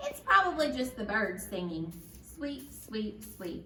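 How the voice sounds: A put-on character voice with a bright, sharp tone and big pitch swings moves at a fairly slow pace. Audible room echo surrounds it. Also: woman, fairly high pitch for a woman.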